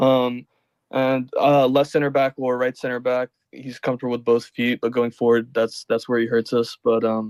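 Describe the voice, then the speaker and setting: Medium-pitched male voice, monotone and flat, at a moderate pace, dry and close with no echo. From Peru. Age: 20s. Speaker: caller. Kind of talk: phone-in chat about football. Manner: halting.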